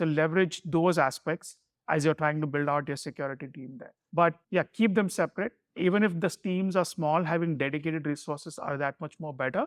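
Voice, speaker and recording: On a very clean recording with a silent background and a dry, close sound with no echo, a man with a Keralan accent and a fairly high pitch speaks at a fairly quick pace, with ordinary pitch variation and big swings in loudness. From India, Mumbai. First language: Malayalam. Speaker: security executive. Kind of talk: interview.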